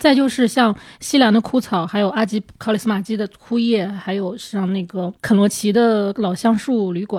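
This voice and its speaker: A somewhat breathy woman's voice at a fairly high pitch, with ordinary pitch variation, a moderate pace, and a very clean recording with a silent background. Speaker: film journalist. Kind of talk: casual chat.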